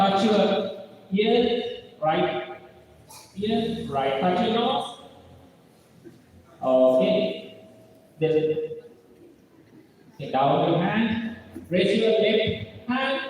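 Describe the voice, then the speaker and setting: With a Sri Lankan accent, a high-pitched man speaks very slowly, using lively intonation and long, frequent pauses. Room echo and noticeable background noise can be heard. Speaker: seminar speaker. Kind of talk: lecture. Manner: interactive, giving audience commands.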